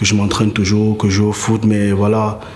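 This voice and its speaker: Noticeable background noise and audible room echo fill the clip. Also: man. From Cameroon. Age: 30s. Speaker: visual artist and body painter. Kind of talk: interview. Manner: halting, with repetitions.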